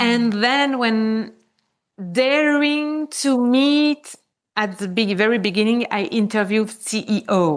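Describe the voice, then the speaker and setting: A woman's high voice with lively intonation at a very slow pace, over a quiet background. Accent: French. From Switzerland. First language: French. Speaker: conscious business mentor. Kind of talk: podcast interview. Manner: casual, with frequent fillers.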